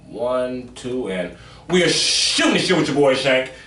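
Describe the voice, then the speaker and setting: A man at a medium pitch speaks at a very slow pace with very wide pitch swings, over noticeable background noise and audible room echo. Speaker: podcast host, comedian. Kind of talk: casual chat.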